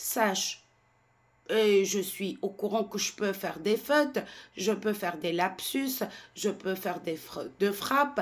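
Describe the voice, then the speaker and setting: A woman at a medium pitch, talking at a very slow pace with long, frequent pauses. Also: ordinary pitch variation. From Tunisia. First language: Tunisian Arabic (speaking French). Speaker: French language content creator. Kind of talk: monologue to camera. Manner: animated.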